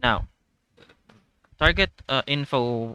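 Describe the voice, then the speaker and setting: The sound is dry and close with no echo. A man with a non-native accent speaks in a medium pitch with a bright, sharp tone. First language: not English. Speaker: gaming guide creator. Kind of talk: tutorial. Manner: halting, many fillers.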